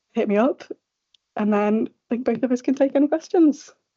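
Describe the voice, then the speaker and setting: A woman with a Yorkshire accent and ordinary pitch variation. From northern England, Sheffield. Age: late 20s. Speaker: radiology registrar. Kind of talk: conference panel talk.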